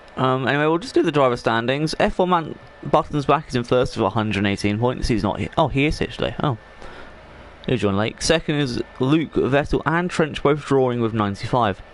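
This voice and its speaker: Over noticeable background noise, the speaker talks at a fairly quick pace with ordinary pitch variation. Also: man, medium pitch for a man. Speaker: esports league commentator. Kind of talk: live game commentary stream. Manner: casual, rambling.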